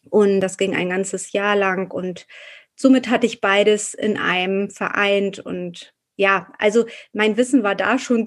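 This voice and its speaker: A woman talks at a fairly slow pace in a fairly high pitch, with fairly even intonation. It is a normal speaking voice. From Hamburg, northern Germany. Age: 40s. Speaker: postpartum doula and naturopath. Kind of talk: interview.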